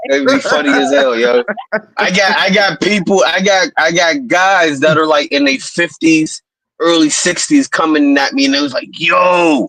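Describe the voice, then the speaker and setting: With an American accent and lively intonation, a man speaks at a fairly high pitch in an ordinary speaking voice. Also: moderate pace. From Pittsburgh, Pennsylvania. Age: 30s. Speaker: rapper. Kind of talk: casual chat.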